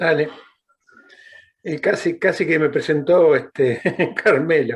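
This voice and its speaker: A man talks at a very slow pace. His pitch is fairly high, with ordinary variation. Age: 60s. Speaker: former political prisoner, human rights activist. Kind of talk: interview. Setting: video call. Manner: halting.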